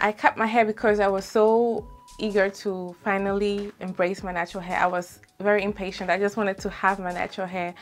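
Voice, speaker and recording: A woman's fairly quick, monotone, flat delivery with music in the background. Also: medium pitch for a woman. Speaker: beauty vlogger. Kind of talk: tutorial vlog.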